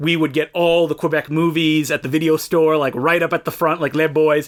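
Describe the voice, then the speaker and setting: Talking at a fairly quick pace with a slight French Canadian accent, a man keeps a fairly high pitch, monotone, flat intonation and very even loudness. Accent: slight French-Canadian accent on some words. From Eastern Ontario, Canada (Franco-Ontarian, near Ottawa). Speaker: podcast co-host. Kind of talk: casual chat.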